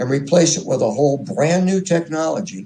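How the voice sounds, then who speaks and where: Lively intonation marks this somewhat breathy voice. Its tone is dark and mellow, and the pace is moderate. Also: man. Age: 70s. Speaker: radio hobbyist interviewee. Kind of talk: interview.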